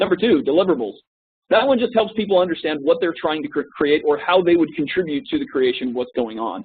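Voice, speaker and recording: Talking very fast, the man has a high voice for a man that swings very widely in pitch. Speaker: corporate trainer. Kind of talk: training presentation. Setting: web conference recording.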